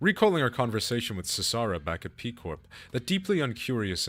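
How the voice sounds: What you hear is a natural reading voice.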